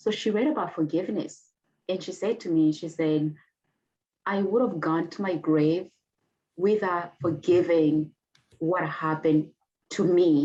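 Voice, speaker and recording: A woman with a Rwandan accent speaks in a fairly low, dark and mellow voice, leaving long, frequent pauses. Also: ordinary pitch variation, fairly slow pace. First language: Kinyarwanda. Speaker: genocide survivor and author. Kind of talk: interview testimony. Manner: halting.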